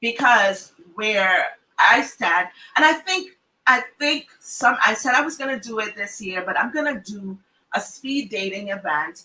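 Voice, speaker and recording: A woman's fairly high voice with a Trinidadian accent, fairly slow pace, animated tone and lively intonation. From Trinidad and Tobago. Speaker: psychologist and family therapist, talk show host. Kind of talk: casual group talk show.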